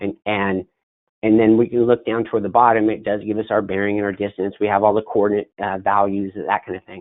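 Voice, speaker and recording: A man speaks with fairly low pitch and monotone, flat intonation. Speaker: software trainer. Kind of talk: webinar tutorial. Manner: fast; halting.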